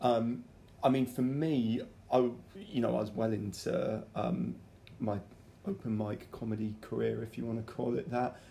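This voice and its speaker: A man's somewhat breathy voice in a British accent, dark and mellow in tone, with ordinary pitch variation, a moderate pace and long, frequent pauses. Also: medium pitch for a man. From UK. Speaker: podcast host and amateur comedian. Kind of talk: casual interview; podcast intro.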